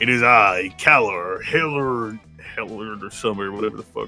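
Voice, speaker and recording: In a booming, put-on character voice, a man speaks at a moderate pace and medium pitch over faint music in the background. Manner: warm.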